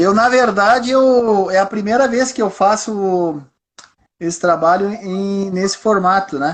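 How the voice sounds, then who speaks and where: Man with a high pitch at a fairly slow pace. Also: ordinary pitch variation. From southern Brazil (Rio Grande do Sul). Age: 60s. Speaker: entrepreneur. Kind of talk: interview. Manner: halting, frequent fillers.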